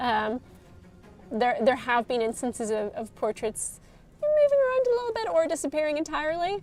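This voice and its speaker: A woman's high voice with very wide pitch swings, a moderate pace, and music in the background. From Northern Ireland, Derry. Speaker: game streamer, studio communications staff. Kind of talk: live game stream chat. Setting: live stream. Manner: casual, frequent fillers and restarts.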